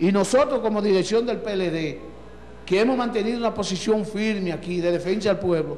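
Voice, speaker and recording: Light background noise sits under a man speaking at a moderate pace in a high pitch. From Dominican Republic. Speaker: local party leader. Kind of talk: political interview. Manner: animated. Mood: indignant political criticism. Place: studio. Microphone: handheld.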